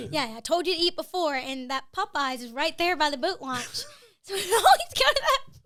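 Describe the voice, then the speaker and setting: In an American accent, a woman with an extremely high pitch and a bright, sharp tone speaks at a fairly quick pace with lively intonation. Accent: Southern US, comes out at times. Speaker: marketing video host. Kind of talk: casual chat. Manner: hesitant, many fillers.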